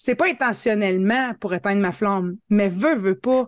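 A woman with an Ontario accent talks at a moderate pace with lively intonation. The sound is dry and close with no echo, over a quiet background. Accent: Franco-Ontarian French. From northern Ontario, Franco-Ontarian (Hearst). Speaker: marketing coach and entrepreneur. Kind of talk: interview. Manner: animated.

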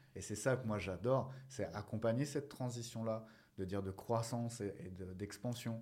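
Moderate pace and fairly even intonation in a plain, everyday voice. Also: man, medium pitch for a man. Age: 40s. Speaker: entrepreneur and business coach, former soldier. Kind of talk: interview conversation.

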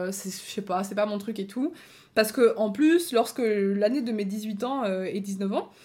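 An animated woman's voice. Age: 20s. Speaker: podcast host. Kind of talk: casual monologue, storytelling.

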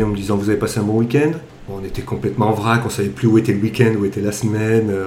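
A man's fairly low voice at a very fast pace, fairly even in intonation, with audible room echo and noticeable background noise. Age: 40s. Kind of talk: interview.

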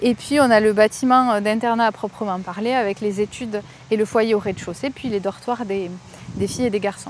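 At a moderate pace and with fairly even intonation, this voice carries a southwestern French accent over noticeable background noise. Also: woman, fairly high pitch for a woman. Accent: southwest French. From southwest France. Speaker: specialised schoolteacher. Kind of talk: casual interview talk. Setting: outdoors in school grounds.

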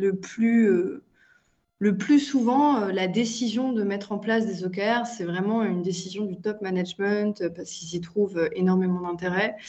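At a very slow pace, a woman speaks in a medium pitch. Her intonation stays fairly even. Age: 30s. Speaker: management consultant. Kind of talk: interview. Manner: hesitant, many fillers.

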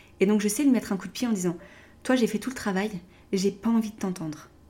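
Somewhat breathy and dark, mellow in tone, the voice moves at a fairly quick pace with ordinary pitch variation. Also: woman. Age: 30s. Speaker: podcast host, naturopath. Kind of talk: personal testimony monologue.

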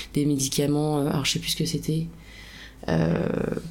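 A woman's very deep, low voice, monotone and flat in intonation, at a fairly slow pace. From France, La Rochelle. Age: 30s. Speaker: hiker sharing a travel story. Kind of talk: casual interview.

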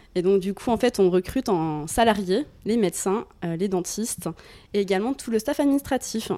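On a very clean recording with a silent background, a woman with a dark, mellow tone and a medium pitch speaks at a moderate pace with lively intonation. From eastern France, Franche-Comté. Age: 30s. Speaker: recruitment and HR marketing manager. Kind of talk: casual interview. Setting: hotel breakfast room.

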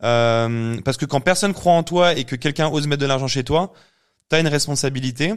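A man talks at a fairly quick pace in an ordinary speaking voice. His pitch is fairly high, with ordinary variation. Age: 30s. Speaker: agency founder and CEO. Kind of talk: casual interview.

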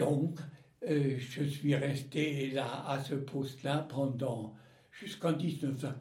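A man's dark, mellow, somewhat breathy voice, fairly high, with fairly even intonation and a very slow pace, in audible room echo. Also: very even loudness. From Alsace, France. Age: 80s+. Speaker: war veteran. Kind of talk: testimony. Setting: at home. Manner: halting.

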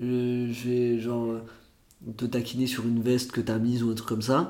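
The speech comes at a fairly slow pace amid audible room echo. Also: man. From Portugal, moved to France as a child. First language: Portuguese (speaking French). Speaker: comedian. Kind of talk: casual interview. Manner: casual slangy, many fillers.

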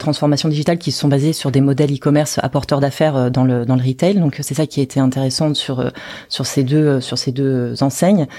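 A woman with a very deep, low pitch speaks at a moderate pace in a dark, mellow tone. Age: 40s. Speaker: marketing executive. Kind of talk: interview. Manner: halting, many repetitions.

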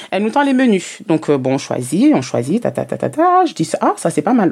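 A fairly quick woman's voice with very wide pitch swings. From Martinique. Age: 30s. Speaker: customer journey consultant, business mentor. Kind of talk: interview. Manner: hesitant, many fillers.

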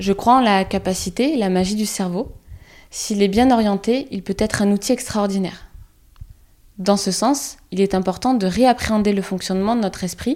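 Dark and mellow in tone, a woman's voice sits at medium pitch with ordinary pitch variation and a moderate pace. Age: 30s. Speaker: psychologist and podcast host. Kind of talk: scripted podcast monologue.

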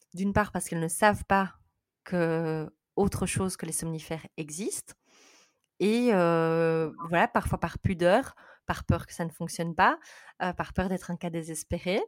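On a very clean recording with a silent background and a dry, close sound with no echo, a woman with a fairly low pitch speaks at a fairly slow pace, using fairly even intonation and long, frequent pauses. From Belgium. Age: 30s. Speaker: sleep psychologist. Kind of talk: interview.

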